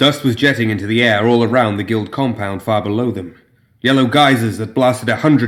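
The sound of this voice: This is an unforced reading voice. The text is read aloud in it.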